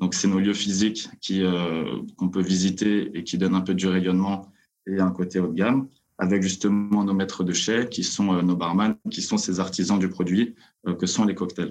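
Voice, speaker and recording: A man speaks in a monotone, his intonation flat. His voice is very deep and low, and his pace moderate. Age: 20s. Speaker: drinks company co-founder. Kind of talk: interview.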